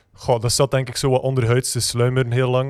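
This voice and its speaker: A man's voice with a dry, close sound and no echo. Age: 20s. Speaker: poet and rock singer. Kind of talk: poetry reading. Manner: calm.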